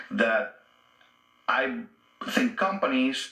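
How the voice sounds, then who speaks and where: Noticeable background noise sits under speech whose pitch swings very widely. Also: man. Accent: Spanish. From Guatemala. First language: Spanish. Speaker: union organizer. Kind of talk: radio interview.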